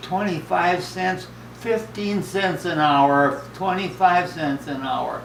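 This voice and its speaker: Through noticeable background noise, a man with a high pitch speaks at a very slow pace with ordinary pitch variation. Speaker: retired farmer and rancher. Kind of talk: interview answer.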